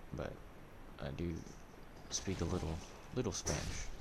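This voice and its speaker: With audible room echo, a man speaks in a very deep, low pitch with vocal fry. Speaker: gaming streamer. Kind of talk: live gameplay commentary. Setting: live stream. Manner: monotone; casual, halting.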